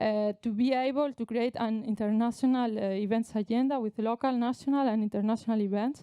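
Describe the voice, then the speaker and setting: This woman's fairly high voice moves at a fairly quick pace with fairly even intonation. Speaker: sports association president. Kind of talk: conference presentation. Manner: hesitant, many filler sounds.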